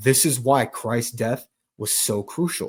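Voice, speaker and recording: The man's voice sits at a medium pitch. It is somewhat breathy. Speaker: Bible teacher, online preacher. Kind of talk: Bible teaching livestream. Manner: fast.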